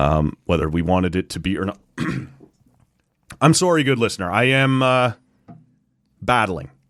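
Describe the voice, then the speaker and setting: A man with a Canadian accent speaks at a fairly low pitch, his voice swinging very widely up and down. He leaves long, frequent pauses. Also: moderate pace. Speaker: sports podcast co-host. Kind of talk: casual chat.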